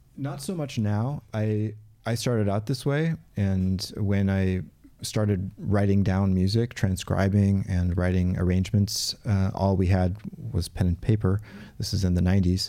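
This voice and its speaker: Recorded very cleanly against a silent background, a man with an American accent speaks in a fairly low pitch with a dark, mellow tone and ordinary pitch variation. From US Pacific Northwest, Portland. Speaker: studio drummer and orchestrator. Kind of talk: interview. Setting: studio.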